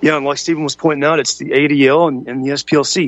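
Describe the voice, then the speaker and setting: Speaking fairly quickly in a normal speaking voice, a man with an American accent keeps a fairly high pitch and fairly even intonation. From US South, Kentucky. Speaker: radio host. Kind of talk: talk radio roundtable.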